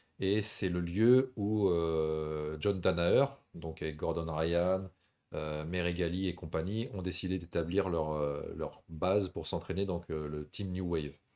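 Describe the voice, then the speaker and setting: Very slowly, a man speaks in a very deep, low voice with a dark, mellow tone and ordinary pitch variation. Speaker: MMA show host. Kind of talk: live stream chat. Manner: relaxed, smooth.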